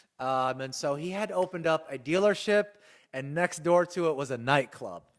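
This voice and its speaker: On a very clean recording with a silent background, a man with an American accent and an unremarkable speaking voice talks at a moderate pace, with a fairly high pitch and ordinary pitch variation. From US South. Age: 40s. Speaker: podcast guest. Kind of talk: casual chat.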